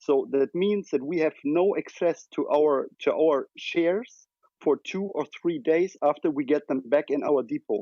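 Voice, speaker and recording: A man with a German accent speaks at a fairly slow pace. His pitch is high, with ordinary pitch variation. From Germany. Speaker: retail investor. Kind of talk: casual chat. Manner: halting.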